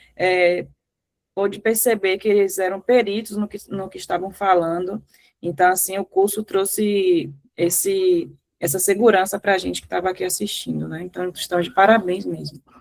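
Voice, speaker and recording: Speaking with a Bahian accent, a woman keeps a medium pitch, fairly even intonation and a moderate pace while her loudness swings a lot. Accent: Bahia. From Salvador, Bahia, Brazil. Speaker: graduate student. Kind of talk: course feedback.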